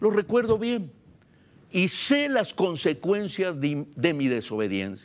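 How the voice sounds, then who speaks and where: Speaking very slowly with a Guatemalan accent, a man uses a high voice that swings very widely in pitch. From Guatemala, Baja Verapaz. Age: 70s. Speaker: pastor. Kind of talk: sermon.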